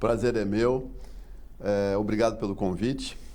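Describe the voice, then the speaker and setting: A man's fairly low-pitched voice, dark and mellow in tone, with audible room echo. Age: 60s. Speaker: port engineer. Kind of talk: TV interview.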